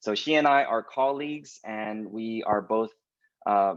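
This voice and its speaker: Against a quiet background, a man with a West Coast US accent speaks at a medium pitch and moderate pace with ordinary pitch variation. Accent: General American, West Coast. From Southern California (Los Angeles). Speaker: pastor. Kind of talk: webinar interview hosting. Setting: video call webinar.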